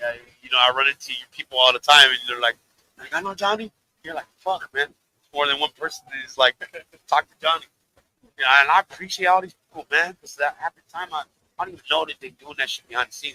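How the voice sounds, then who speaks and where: A man with an American accent speaks at a very fast pace, his pitch fairly high and varying in an ordinary way. His tone is bright and sharp, the loudness swings widely, long pauses come often, and the sound is dry and close with no echo. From California, San Bernardino. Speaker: rapper. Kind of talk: casual interview. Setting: live stream.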